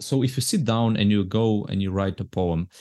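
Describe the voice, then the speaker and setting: Pitch moves in an ordinary way as the man talks. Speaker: podcast host. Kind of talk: interview conversation.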